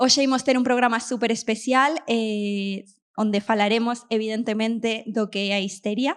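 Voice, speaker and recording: In a very clean recording with a silent background, a woman with an Argentine accent speaks at a moderate pace, her fairly high pitch carrying fairly even intonation. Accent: Argentine-accented Galician. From Argentina. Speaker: show host. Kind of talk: stand-up style opening monologue to live audience.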